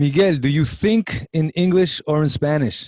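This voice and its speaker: A man's somewhat breathy voice with a Brooklyn accent, fairly high in pitch, with ordinary pitch variation and a dry, close sound with no echo. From Brooklyn, New York. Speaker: college show host. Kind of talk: interview. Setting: video call.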